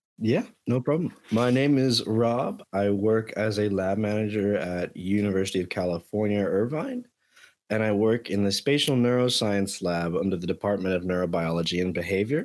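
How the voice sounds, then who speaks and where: A fairly low-pitched man with an American accent, in a very clean recording with a silent background. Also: ordinary pitch variation, moderate pace. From Miami, Florida. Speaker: lab manager. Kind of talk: casual chat.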